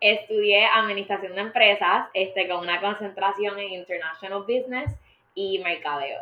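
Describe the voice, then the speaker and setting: A woman speaks in a normal speaking voice at a medium pitch and moderate pace, with fairly even intonation. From Puerto Rico. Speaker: media industry professional. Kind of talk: interview.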